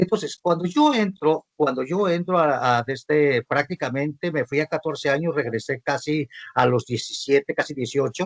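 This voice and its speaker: Fairly high in pitch, a man speaks in an ordinary speaking voice at a fairly quick pace with ordinary pitch variation, the sound dry and close with no echo. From Mexico, Sinaloa. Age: 60s. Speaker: visual artist and arts coordinator. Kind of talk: panel talk.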